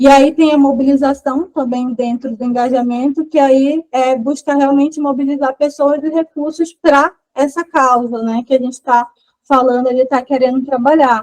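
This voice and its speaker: At a moderate pace, a woman speaks with a high pitch and monotone, flat intonation. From Brazil, Manaus (Amazonas). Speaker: environmental activist and educator. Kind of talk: lecture.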